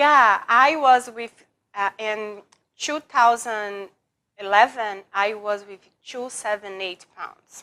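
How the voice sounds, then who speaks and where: With a Portuguese accent, a woman speaks very slowly in a bright, sharp tone, her fairly high pitch showing ordinary variation. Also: big swings in loudness. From Brazil. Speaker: former attorney, public personality. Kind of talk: interview. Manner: halting, broken English.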